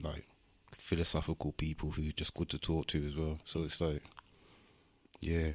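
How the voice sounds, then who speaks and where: A man with a very deep, low voice, flat and monotone, at a moderate pace with long, frequent pauses, in a dry, close sound with no echo. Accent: Midlands. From Birmingham, West Midlands, England. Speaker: musician and community project founder. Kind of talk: casual interview chat.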